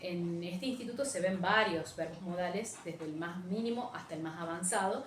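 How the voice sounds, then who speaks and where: A woman's normally varying pitch comes through amid clear background noise and audible room echo. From Argentina, Frías, Santiago del Estero. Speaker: English teacher. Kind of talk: recorded teaching demo / lecture. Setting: virtual class recording without students. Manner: animated, fairly loud, high-energy; hesitant with many fillers (eh, em).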